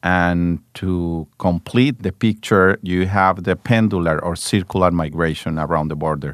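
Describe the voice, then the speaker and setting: With a Spanish accent and very deep, low pitch, a man speaks at a fairly slow pace with ordinary pitch variation and hardly any pauses, recorded dry and close with no echo over a quiet background. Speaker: government official. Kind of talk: interview.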